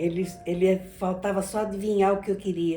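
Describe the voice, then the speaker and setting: Music plays in the background as a woman speaks at a fairly slow pace. Her pitch is medium, and her intonation stays fairly even. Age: 80s+. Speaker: grandmother telling her life story. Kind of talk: interview answer.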